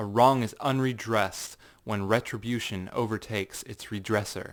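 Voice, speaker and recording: This man has a plain, everyday voice at a medium pitch, with fairly even intonation. He speaks at a moderate pace in a very clean recording with a silent background. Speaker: narrator. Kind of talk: dramatic audiobook reading.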